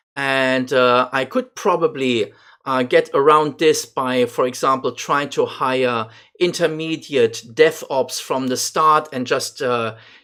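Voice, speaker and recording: A man's fairly high, bright, sharp voice with a non-native accent, fairly even intonation and a very slow pace. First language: not English. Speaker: gaming YouTuber. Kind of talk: gameplay commentary. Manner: halting, many fillers.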